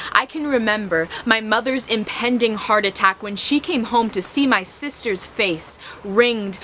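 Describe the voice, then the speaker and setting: A woman's fairly high-pitched voice with ordinary pitch variation at a moderate pace, over noticeable background noise. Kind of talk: spoken word poetry performance. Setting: outdoors.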